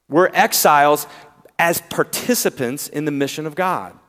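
A man with a slight Southern US accent talks with lively intonation. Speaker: preacher. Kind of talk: sermon. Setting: church.

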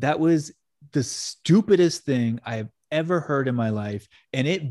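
An animated tone comes through at a moderate pace with ordinary pitch variation, the sound dry and close with no echo against a quiet background. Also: man. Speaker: podcast co-host and editor. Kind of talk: casual chat.

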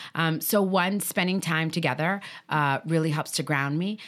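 A woman's unremarkable speaking voice, fairly low in pitch with ordinary variation, at a moderate pace in a very clean recording with a silent background. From Chicago, Puerto Rican family. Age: 40s. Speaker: nonprofit executive director. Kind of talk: interview.

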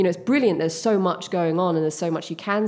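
With an English accent, a woman speaks in a fairly even intonation. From United Kingdom. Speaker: clown and theatre company founder. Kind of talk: casual interview.

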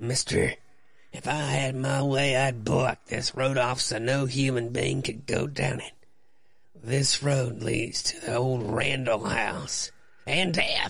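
Using a raspy put-on character voice, a man speaks at a medium pitch and a fairly slow pace. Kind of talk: comic overacting radio play. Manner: grim, folksy storyteller.

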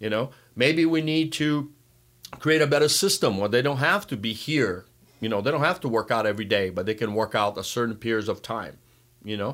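A man with a Brazilian accent at a medium pitch, with lively intonation and a fairly quick pace, in a very clean recording with a silent background. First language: Portuguese. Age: 60s. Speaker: water polo coach. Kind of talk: casual interview.

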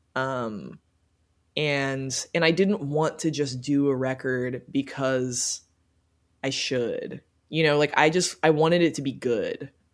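In an American accent, a woman speaks at a very slow pace with a very deep, low pitch and ordinary pitch variation. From Cincinnati, Ohio, US Midwest. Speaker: indie rock musician, singer-songwriter. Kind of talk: casual interview chat. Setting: remote call. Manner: casual, many filler words.

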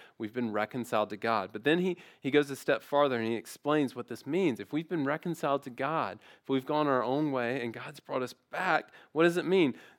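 A man with a fairly high pitch and an ordinary speaking voice, at a fairly quick pace, on a very clean recording with a silent background. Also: ordinary pitch variation, dry, close sound with no echo. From US South, Memphis area. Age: 30s. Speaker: guest preacher. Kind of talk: sermon.

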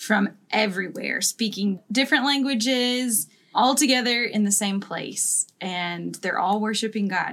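Using a plain, everyday voice, a woman speaks at a fairly high pitch with ordinary pitch variation. Her pace is fairly slow. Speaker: podcast co-host. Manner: joking, playful.

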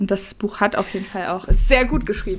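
Here a woman speaks at a medium pitch and a moderate pace. Her intonation is fairly even. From Mecklenburg-Vorpommern. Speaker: podcast co-host. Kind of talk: casual chat.

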